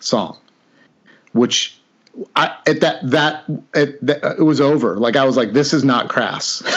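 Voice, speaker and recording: With an American accent, the words come at a fairly slow pace. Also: man. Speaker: podcast co-host. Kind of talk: interview. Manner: animated.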